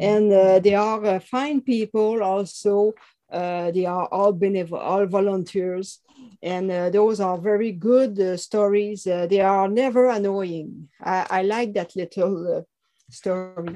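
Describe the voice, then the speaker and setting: In a French Canadian accent, a woman speaks at a fairly slow pace with a dark, mellow tone and fairly even intonation. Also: medium pitch for a woman. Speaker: author. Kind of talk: interview. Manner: halting.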